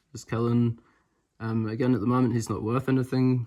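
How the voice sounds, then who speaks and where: A man's medium-pitched, dark and mellow voice with a New Zealand accent and monotone, flat intonation. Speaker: trading card game content creator. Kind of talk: pack opening video, casual chat. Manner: casual, halting with fillers.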